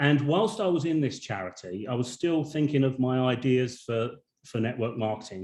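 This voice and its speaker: A man with a British accent speaks at a moderate pace in a medium pitch, his intonation lively. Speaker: network marketing business owner. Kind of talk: webinar presentation. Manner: halting, with many repetitions.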